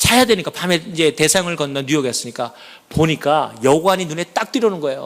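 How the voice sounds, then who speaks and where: This man's pace is fairly quick. He talks in an animated tone. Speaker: church elder. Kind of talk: testimony. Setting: church.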